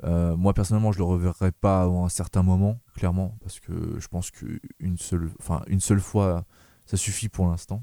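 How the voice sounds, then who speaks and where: A man with a very deep, low voice and a dark, mellow tone speaks at a moderate pace with fairly even intonation. The sound is dry and close with no echo, on a very clean recording with a silent background. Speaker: film podcast host. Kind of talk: casual chat. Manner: hesitant, many fillers.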